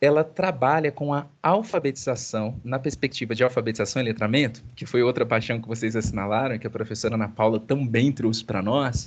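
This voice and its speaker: Speaking at a fairly quick pace with hardly any pauses, a man keeps a medium pitch and ordinary pitch variation over a quiet background. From Minas Gerais, Zona da Mata (Brazil). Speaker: university professor. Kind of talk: online class meeting with students. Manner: fast; animated.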